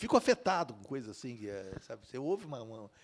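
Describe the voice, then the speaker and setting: The speaker talks at a fairly quick pace. The pitch swings very widely. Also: man. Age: 70s. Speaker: novelist. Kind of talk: interview at a literary festival. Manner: halting, many fillers and restarts.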